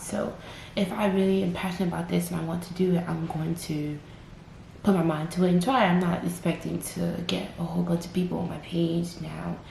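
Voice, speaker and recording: A woman's fairly quick speech with audible room echo and noticeable background noise. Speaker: vlogger. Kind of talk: personal testimony vlog. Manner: slightly impaired, halting speech; casual, filler-heavy.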